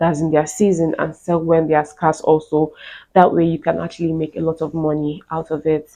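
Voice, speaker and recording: A woman speaks in a fairly low pitch with monotone, flat intonation. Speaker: YouTube vlogger. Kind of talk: casual vlog talk. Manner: slow; soft-spoken.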